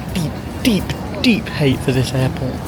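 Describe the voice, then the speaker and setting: Lively intonation in a southern English accent comes through noticeable background noise and audible room echo. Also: man. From England. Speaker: travel vlogger. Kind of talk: travel vlog narration. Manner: casual, animated.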